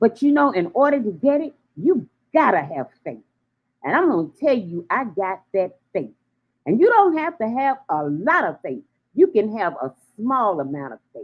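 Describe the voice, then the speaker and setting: A woman speaks at a moderate pace with vocal fry, an animated tone and very wide swings in pitch. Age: 70s. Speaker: radio host. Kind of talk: casual chat. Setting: live stream.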